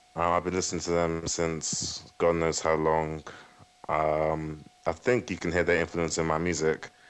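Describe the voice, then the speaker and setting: Over noticeable background noise, the speaker keeps a moderate pace with monotone, flat intonation. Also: man, very deep, low pitch for a man. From West London, England. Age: 20s. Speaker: guitarist. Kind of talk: radio interview. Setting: Skype call. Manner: halting.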